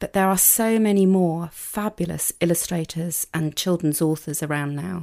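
A woman with a British accent talks at a fairly slow pace in fairly low pitch, recorded very cleanly against a silent background. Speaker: university lecturer in education. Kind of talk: interview about children's books. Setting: studio.

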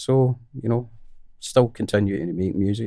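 A man speaks with a Scottish accent and a dark, mellow tone. The recording is very clean, with a silent background. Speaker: musician. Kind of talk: casual interview chat. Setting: in person, studio.

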